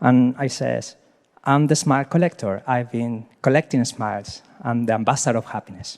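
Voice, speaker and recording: A man with a Chilean Spanish accent at medium pitch, ordinary pitch variation and a moderate pace, dry and close with no echo. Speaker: happiness advocate, nonprofit founder. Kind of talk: question at a coaching event. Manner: halting; energetic.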